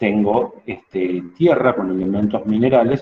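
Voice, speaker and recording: Speaking with a Rioplatense accent, a man talks at a fairly slow pace in a fairly low pitch. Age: 60s. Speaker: teacher. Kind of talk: lecture. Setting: outdoors.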